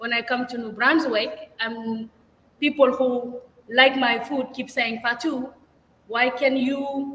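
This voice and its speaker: Very slow and high-pitched, a woman speaks with a non-native accent and fairly even intonation. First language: not English. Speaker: restaurant owner and chef. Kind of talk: interview.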